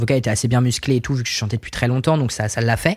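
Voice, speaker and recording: This is a man speaking at medium pitch. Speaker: singer-songwriter. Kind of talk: casual chat. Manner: hesitant, many fillers.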